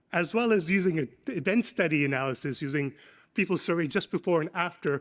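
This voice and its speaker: This man has a high pitch and ordinary pitch variation, talking at a fairly quick pace. The recording is very clean and dry, close with no echo, over a silent background. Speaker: economics professor. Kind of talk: academic conference presentation. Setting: conference panel session. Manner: fast.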